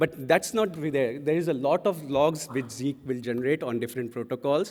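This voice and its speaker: At a fairly high pitch, a man talks with an Indian accent. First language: Hindi. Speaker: conference speaker. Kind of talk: conference talk.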